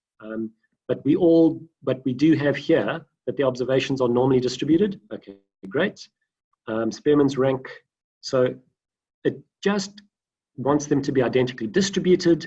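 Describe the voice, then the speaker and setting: A man with a fairly high pitch and ordinary pitch variation talks at a moderate pace, sounding somewhat breathy and leaving long, frequent pauses. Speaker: data science lecturer. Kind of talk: online lecture. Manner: halting, many fillers.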